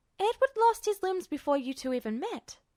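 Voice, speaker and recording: A woman does a squeaky, put-on character voice at an extremely high pitch with very wide pitch swings and a fairly quick pace, sounding dry and close with no echo. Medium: read story. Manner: steady, sure.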